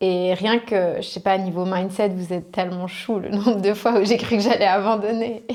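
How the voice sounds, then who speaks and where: Flat, monotone delivery from a woman at a medium pitch. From French-speaking Switzerland, Riviera (Vevey–Montreux). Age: 20s. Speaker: e-commerce entrepreneur. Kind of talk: interview. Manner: hesitant, many fillers.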